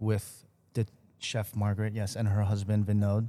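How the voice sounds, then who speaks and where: A dark, mellow tone with an American accent at a fairly slow pace, on a very clean recording with a silent background. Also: man. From Chicago, US Midwest. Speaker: chef and restaurateur, podcast co-host. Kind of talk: casual chat.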